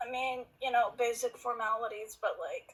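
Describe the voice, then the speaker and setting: A woman puts on a raspy, high-pitched character voice. She keeps a moderate pace. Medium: actual play.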